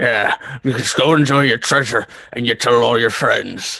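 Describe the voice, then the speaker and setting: A man speaks at a moderate pace in a raspy, put-on character voice of medium pitch. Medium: actual play. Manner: gruff, guarded.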